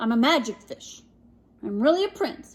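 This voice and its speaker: Using a put-on character voice, a woman speaks high-pitched at a moderate pace. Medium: read story.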